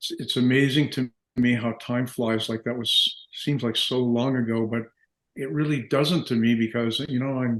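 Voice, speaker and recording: A man with an Ontario accent, medium pitch, fairly even intonation and moderate pace. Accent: Canadian (Ontario). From Canada, Windsor, Ontario (Detroit-Windsor area). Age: 70s. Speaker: dental business executive, entrepreneur. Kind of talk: interview. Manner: hesitant, with frequent repetitions.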